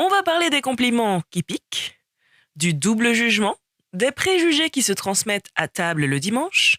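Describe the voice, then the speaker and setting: Fairly high in pitch, a woman's voice makes very wide pitch swings. Her pace is fairly slow. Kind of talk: series trailer narration. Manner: dynamic, conversational.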